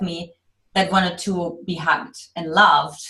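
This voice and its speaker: Speaking in a German accent, a woman with a medium pitch and a bright, sharp tone keeps a moderate pace. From Eastern Germany. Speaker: love coach. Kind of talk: podcast interview.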